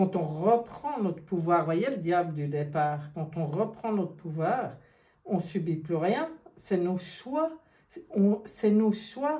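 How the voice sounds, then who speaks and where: Through noticeable background noise, a woman with a medium pitch speaks at a very slow pace with lively intonation. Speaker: tarot card reader. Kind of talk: card reading monologue. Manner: animated.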